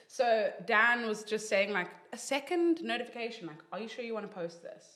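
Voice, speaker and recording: Animated in tone, a woman talks fairly quickly at a fairly high pitch with lively intonation and big swings in loudness, amid noticeable background noise. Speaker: social media influencer. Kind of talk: casual chat.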